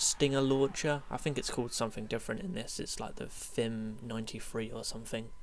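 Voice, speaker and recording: The pitch varies in an ordinary way while the talking moves at a fairly quick pace. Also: man. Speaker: gaming YouTuber. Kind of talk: gameplay commentary. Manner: fast; casual, many fillers.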